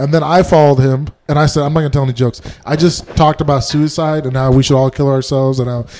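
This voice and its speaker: A man talks at a very fast pace. His voice sits fairly high, and his intonation stays fairly even. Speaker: stand-up comedian, podcast co-host. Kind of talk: casual chat. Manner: loud.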